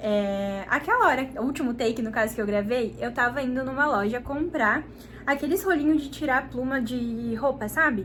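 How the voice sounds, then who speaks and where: At a moderate speed, a woman talks in a high voice. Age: 20s. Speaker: vlogger, young mother. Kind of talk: casual vlog talk to camera. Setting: at home. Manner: speaking quietly while baby sleeps.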